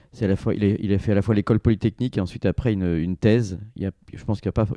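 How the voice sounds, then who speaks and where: A man speaks very fast in a fairly low, dark, mellow voice with fairly even intonation. The sound is dry and close, with no echo. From southeastern France, Grenoble and Provence. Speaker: entrepreneur and business angel. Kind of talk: interview conversation. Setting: studio in Paris office. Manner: hesitant with frequent fillers and repetitions.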